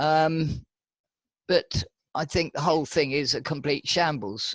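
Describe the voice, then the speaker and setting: A voice with a British accent comes through a very clean, dry, close recording with a silent background and no echo. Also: man. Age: 80s+. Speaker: medical cannabis patient facing prosecution. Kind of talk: interview.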